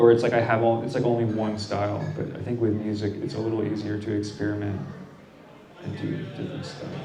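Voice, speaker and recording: Over noticeable background noise and audible room echo, a man talks at a very fast pace with a fairly low pitch and monotone, flat intonation. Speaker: artist and musician. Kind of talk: interview. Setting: brewery gallery with audience. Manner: loud; halting.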